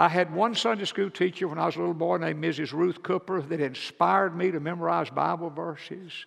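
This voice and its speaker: Against a quiet background, a man with a Southern US accent speaks at a moderate pace in a high pitch with fairly even intonation. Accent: Southern US (Georgia). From US South, rural Georgia. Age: 70s. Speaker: Baptist pastor. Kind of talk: sermon. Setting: church.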